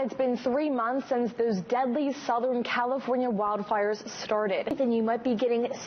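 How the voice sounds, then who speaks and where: A woman talks at a high pitch and a moderate pace with ordinary pitch variation. Noticeable background noise is present. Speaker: TV news anchor and reporter. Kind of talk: TV news anchor read. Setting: studio.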